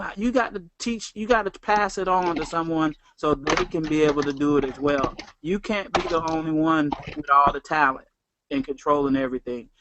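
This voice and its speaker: He speaks with a Southern US accent at a fairly high pitch. The man's pace is moderate and his pitch variation ordinary. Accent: Southern twang. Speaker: network marketing trainer. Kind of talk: motivational talk.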